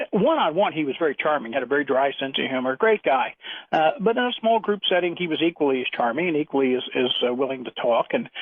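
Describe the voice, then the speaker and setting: A man talks at a very fast clip in a fairly high voice. His intonation stays lively throughout. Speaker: caller, retired aerospace engineer. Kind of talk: phone-in call, anecdote. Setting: phone call.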